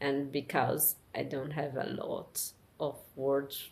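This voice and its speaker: A woman speaks with a Portuguese accent. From Brazil. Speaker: vlogger. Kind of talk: personal monologue. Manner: slow; halting.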